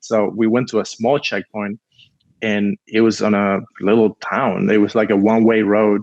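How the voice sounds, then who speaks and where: In a Spanish accent, a man with a fairly low voice speaks at a moderate pace, the sound dry and close with no echo. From Cuba. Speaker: film producer. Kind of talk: casual interview storytelling. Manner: animated.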